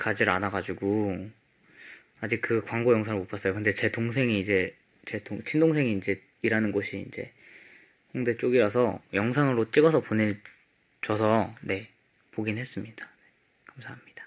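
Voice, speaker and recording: With a quiet background, a man speaks at a moderate pace, with ordinary pitch variation and big swings in loudness. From South Korea. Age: 20s. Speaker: K-pop idol. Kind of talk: casual chat. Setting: livestream from company practice room. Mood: calm, polite, relaxed. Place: home room. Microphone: phone near.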